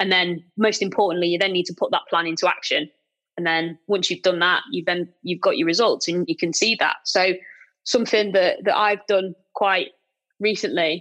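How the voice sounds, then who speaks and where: Her British accent comes through as a woman talks at a moderate pace and medium pitch with ordinary pitch variation against a quiet background. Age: 20s. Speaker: property letting company director. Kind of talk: interview.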